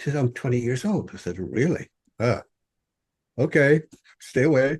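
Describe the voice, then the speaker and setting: A man with a fairly high pitch talks at a moderate pace, his lively intonation touched with vocal fry. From Ireland. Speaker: author. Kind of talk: interview. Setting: podcast. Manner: halting, repeats words.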